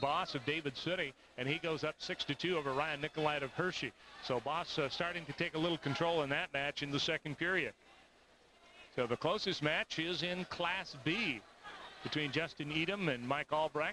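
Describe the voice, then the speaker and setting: A man with a fairly high voice speaks in a fairly even intonation at very even loudness, the sound dry with no echo and noticeable background noise behind him. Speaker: sports commentator. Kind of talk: live sports commentary. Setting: archive broadcast of a wrestling arena event. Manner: steady, formal play-by-play delivery. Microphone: headset.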